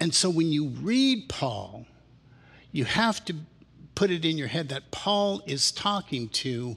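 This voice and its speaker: A man speaks at a very slow pace, his pitch making very wide swings. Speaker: pastor. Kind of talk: worship service leading. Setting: church with congregation. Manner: animated. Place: church. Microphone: headset.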